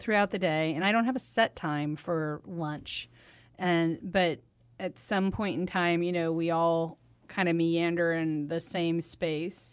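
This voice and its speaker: Over a quiet background, a woman with a normal speaking voice talks at a fairly slow pace, her pitch fairly low and her intonation fairly even. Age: 40s. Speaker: radio host and nonprofit founder. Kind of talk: casual chat.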